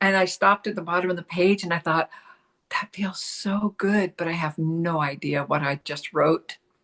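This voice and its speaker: A woman with an American accent talks in a plain, everyday voice at a fairly low pitch and moderate pace. Her intonation is fairly even, and the sound is dry and close with no echo. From US Pacific Northwest. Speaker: spiritual channel and artist. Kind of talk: interview storytelling.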